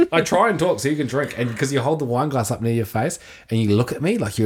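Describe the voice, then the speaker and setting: Speaking very fast with lively intonation, a man with a New Zealand accent is captured on a very clean recording with a silent background. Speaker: podcast co-host. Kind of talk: casual banter chat.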